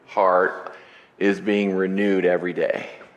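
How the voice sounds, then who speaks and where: A man's voice carries audible room echo. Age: 60s. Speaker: pastor. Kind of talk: sermon. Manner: casual, halting with repetitions.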